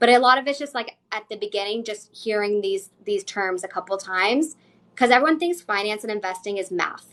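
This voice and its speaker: Here a woman talks at a fairly high pitch with ordinary pitch variation. Her pace is fairly quick. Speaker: financial coach. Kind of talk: casual chat in live Q&A. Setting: social media livestream. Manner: fast.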